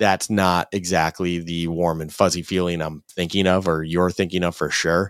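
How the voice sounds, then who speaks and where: A man with an American accent, very deep low pitch, monotone flat intonation, moderate pace and hardly any pauses, in a dry, close, very clean recording with no echo and a silent background. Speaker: sports podcast co-host. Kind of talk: casual chat.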